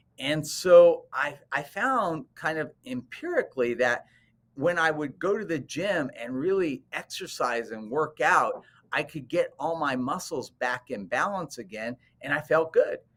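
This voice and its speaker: A man's unremarkable speaking voice, fairly high in pitch, with lively intonation and a fairly slow pace. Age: 60s. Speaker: cosmetic dentist. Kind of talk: interview.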